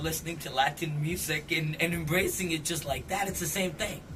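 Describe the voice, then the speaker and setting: There is noticeable background noise behind a man with a high voice. He talks at a fairly quick pace with fairly even intonation. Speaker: radio DJ, club DJ, event host. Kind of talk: casual interview conversation about music.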